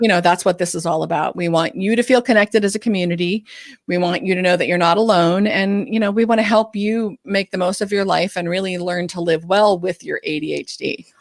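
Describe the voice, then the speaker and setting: A woman talks at a fairly quick pace with hardly any pauses. Her pitch is medium and her intonation fairly even. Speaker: ADHD coach and podcast co-host. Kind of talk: live Q&A chat. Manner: fast.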